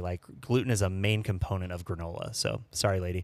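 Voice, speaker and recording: A man with an American accent, very deep and low in pitch, at a fairly quick pace. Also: very clean recording, silent background. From Saint Louis, US Midwest. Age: 40s. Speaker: bartender and restaurant consultant. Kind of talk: casual chat.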